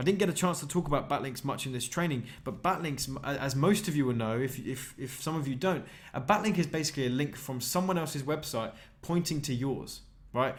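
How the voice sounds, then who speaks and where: A man with a British accent talks at a fairly quick pace in a fairly high pitch. His voice is somewhat breathy, with ordinary pitch variation. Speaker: online marketing trainer. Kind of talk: sales pitch. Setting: live webinar. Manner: fast; animated.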